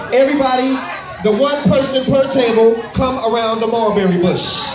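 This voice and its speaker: The speech moves at a moderate pace. There is noticeable background noise and audible room echo. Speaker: event host / emcee. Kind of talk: live event hosting, energetic crowd-facing emcee talk. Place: hall.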